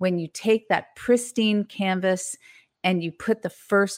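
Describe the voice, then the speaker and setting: Recorded very cleanly against a silent background, a woman speaks at a very slow pace in a dry, close sound with no echo. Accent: Californian. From US West Coast, San Francisco Bay Area. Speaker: painter and author. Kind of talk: interview.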